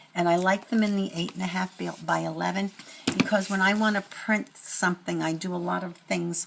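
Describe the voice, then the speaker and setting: The pace is fairly quick as a woman talks. Background noise is noticeable throughout. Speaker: crafting YouTuber. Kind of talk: casual show-and-tell haul video. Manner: halting, many fillers and restarts.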